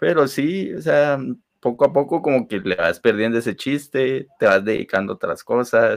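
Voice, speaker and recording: In an ordinary speaking voice, a man talks at a medium pitch and moderate pace with lively intonation against a quiet background. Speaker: podcast co-host. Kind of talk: casual chat.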